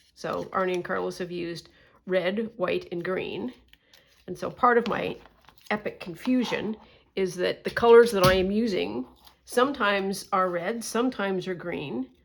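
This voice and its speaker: A woman with a Canadian accent speaks at a moderate pace in a medium-pitched voice, with ordinary pitch variation and some vocal fry. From Canada. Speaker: crafting YouTuber. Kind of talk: casual vlog chat. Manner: halting, many fillers.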